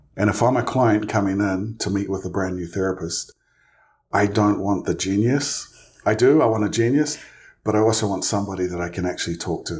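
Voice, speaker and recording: A man with a New Zealand accent talks at a fairly quick pace in a fairly low, somewhat breathy voice with ordinary pitch variation. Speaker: licensed clinical social worker, therapist. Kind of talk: interview.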